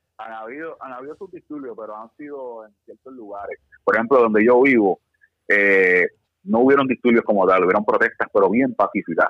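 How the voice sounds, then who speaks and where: Delivered at a fairly quick clip, an unremarkable speaking voice shows ordinary pitch variation. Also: man, medium pitch for a man. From Puerto Rico. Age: 30s. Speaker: firearms instructor. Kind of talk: casual chat.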